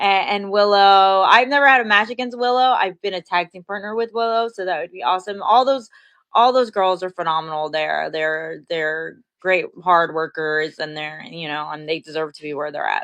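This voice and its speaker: A woman speaks in an ordinary speaking voice with an American accent at a medium pitch. Her pace is moderate and her intonation lively. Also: big swings in loudness. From New York. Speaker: professional wrestler. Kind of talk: interview. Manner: casual, friendly.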